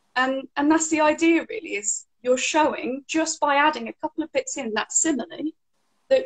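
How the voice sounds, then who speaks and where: A woman with an English accent talks at a fairly quick pace in a high pitch, the sound dry and close with no echo. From England. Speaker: English teacher. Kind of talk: interview answer.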